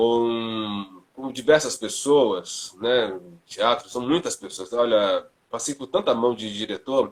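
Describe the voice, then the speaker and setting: At a very slow pace, a man talks at medium pitch with ordinary pitch variation and big swings in loudness. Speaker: theatre actor and drama teacher. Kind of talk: casual chat.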